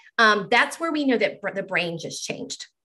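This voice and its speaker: A woman with a bright, sharp tone speaks with lively intonation over a quiet background. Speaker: occupational therapist and yoga therapist; presenter. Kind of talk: lecture presentation with guided movement. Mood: calm, soothing. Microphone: webcam.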